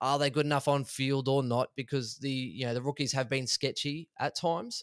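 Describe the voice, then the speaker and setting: A man speaks with an Australian accent and fairly even intonation. The recording is very clean, with a silent background. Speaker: fantasy football analyst. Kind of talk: casual chat.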